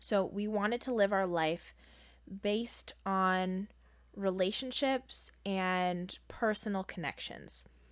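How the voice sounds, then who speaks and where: A woman's voice sits at a medium pitch and moves at a fairly slow pace with fairly even intonation. It is a plain, everyday voice, recorded very cleanly against a silent background. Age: 20s. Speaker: podcast co-host. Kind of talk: casual chat.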